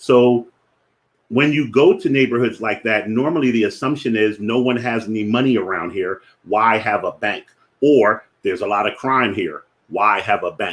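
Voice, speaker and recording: This man speaks at medium pitch and a moderate pace, with ordinary pitch variation. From Philadelphia, US. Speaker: finance educator, platform founder. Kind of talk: live-streamed educational talk. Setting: Facebook live stream.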